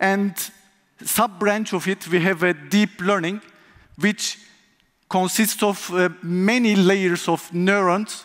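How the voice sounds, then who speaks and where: A man with a Turkish accent speaks at a very slow pace in a high pitch, keeping his intonation fairly even. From Turkey. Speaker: conference speaker, software tester. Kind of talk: conference talk.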